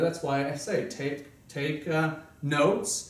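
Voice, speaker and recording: A man's voice with audible room echo. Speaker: self-help seminar presenter. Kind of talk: seminar talk. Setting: small group meeting at home.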